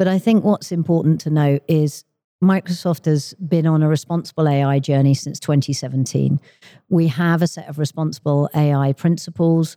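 In a dry, close recording with no echo, a woman with a very deep, low pitch and a dark, mellow tone speaks at a moderate pace with fairly even intonation. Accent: southern English. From London, England. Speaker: tech industry executive. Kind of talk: interview.

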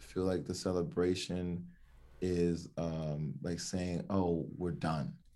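A man with an American accent, a very deep, low pitch and a dark, mellow tone, with audible room echo. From Miami, Florida. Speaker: equity consultant. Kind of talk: interview conversation.

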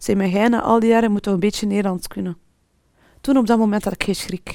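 The recording is very clean with a silent background, capturing a woman with a fairly high pitch. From Flanders, Belgium, Moroccan family. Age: 40s. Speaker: pharma sales rep. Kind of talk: personal testimony interview.

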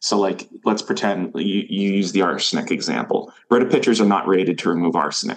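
A man with an American accent and a normal speaking voice, fairly low in pitch with ordinary variation, at a fairly quick pace, with very even loudness and hardly any pauses. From Maine, US. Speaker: water chemist and company CEO. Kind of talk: casual interview.

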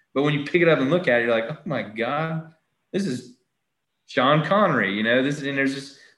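A man with a Southern US accent talks at a fairly high pitch with ordinary pitch variation. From Southern US small town. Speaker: golf author. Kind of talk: casual interview. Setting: video call.

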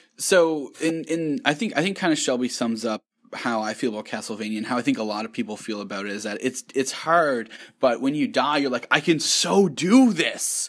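An ordinary speaking voice with lively intonation at a fairly quick pace, in a very clean recording with a silent background. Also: man, fairly high pitch for a man. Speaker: podcast co-host. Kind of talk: casual chat.

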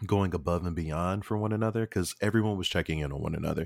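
The man's voice is very deep and low. Its pitch varies in an ordinary way. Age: 30s. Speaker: podcast host. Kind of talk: casual chat.

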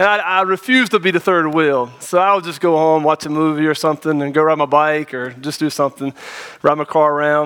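This man has a Southern US accent and a fairly high pitch. His tone is bright and sharp, with ordinary pitch variation. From North Carolina, small town. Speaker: pastor. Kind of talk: sermon. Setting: church.

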